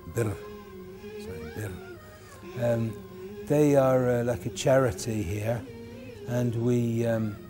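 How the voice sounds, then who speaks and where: The speaker talks at a fairly slow pace with ordinary pitch variation. Music plays in the background, and some room echo is audible. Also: man. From England, Birmingham. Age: 50s. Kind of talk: documentary interview.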